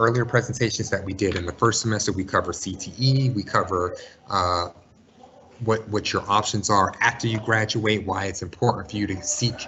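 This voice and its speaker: A man with a fairly low voice speaks at a fairly quick pace with fairly even intonation over noticeable background noise. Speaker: school college and career counselor. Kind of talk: webinar presentation.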